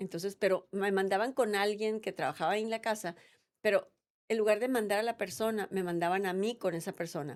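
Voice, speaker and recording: In a very clean recording with a silent background, a woman uses a normal speaking voice at medium pitch with ordinary pitch variation. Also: fairly quick pace. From Mexico, Sonora. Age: 60s. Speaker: politician. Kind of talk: interview.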